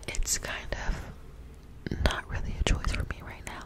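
The words come out in a whisper at a moderate pace. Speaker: ASMR creator. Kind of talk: casual vlog chat. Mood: reflective, talking about anxiety. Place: home room. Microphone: studio mic.

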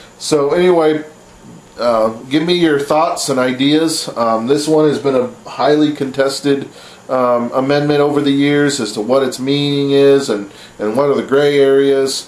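A man speaks with fairly even intonation. Room echo is audible around his voice. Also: moderate pace. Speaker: vlogger. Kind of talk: opinion commentary vlog. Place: home room. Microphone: webcam.

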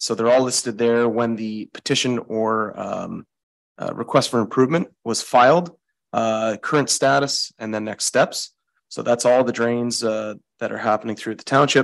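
The speaker keeps a moderate pace and fairly even intonation in a quiet background. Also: man. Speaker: municipal public works staff; township staff presenting a report. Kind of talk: council meeting report. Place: meeting room. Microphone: podium.

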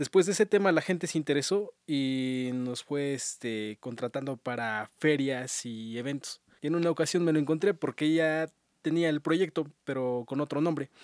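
Fairly high in pitch, a man speaks at a moderate pace with ordinary pitch variation, in a dry sound with no echo and a quiet background. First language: Otomí (ñañú) (speaking Spanish). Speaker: musician and electronic music producer; guest. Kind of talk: radio interview. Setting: radio studio. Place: studio. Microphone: studio mic.

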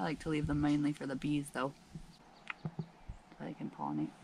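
At a moderate pace, a woman speaks low with a slightly mellow tone, vocal fry and big pitch swings.

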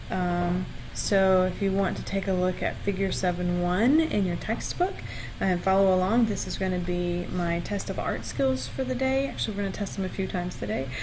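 Moderately paced female speech, noticeable noise behind it. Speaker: university lecturer. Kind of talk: lecture. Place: home room. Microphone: webcam.

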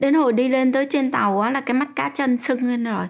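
Against a quiet background, a woman speaks at a fairly slow pace. Her pitch is high, with ordinary pitch variation. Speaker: interviewee. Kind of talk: interview answer. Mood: calm, reflective recounting. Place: home room.

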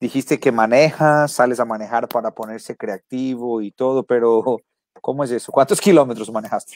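At a moderate pace, a man of medium pitch speaks with ordinary pitch variation, captured in a very clean recording with a silent background and a dry, close sound with no echo. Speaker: podcast host. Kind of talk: interview.

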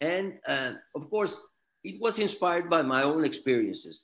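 The voice swings very widely in pitch and carries vocal fry. The background is quiet. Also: man. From Mexico City, Mexico; Mexico. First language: Spanish. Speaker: author and attorney; attorney. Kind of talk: interview. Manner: halting, repeats words. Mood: warm, courteous. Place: office. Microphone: video call.

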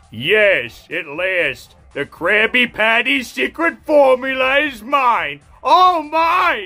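With faint music in the background, a put-on character voice at a fairly high pitch speaks at a very slow pace. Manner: gloating, triumphant.

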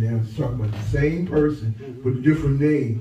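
Amid light background noise and audible room echo, a man speaks with ordinary pitch variation. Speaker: pastor. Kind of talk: sermon. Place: church.

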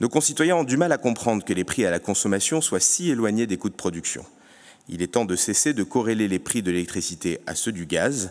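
Against a quiet background, a man with a plain, everyday voice speaks fairly quickly at a fairly low pitch. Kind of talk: conference speech. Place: hall. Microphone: podium.

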